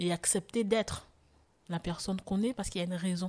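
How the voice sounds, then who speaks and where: A woman's dark, mellow, somewhat breathy voice with fairly even intonation, dry and close with no echo. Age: 40s. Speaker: testimony guest, former choreographer. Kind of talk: testimony.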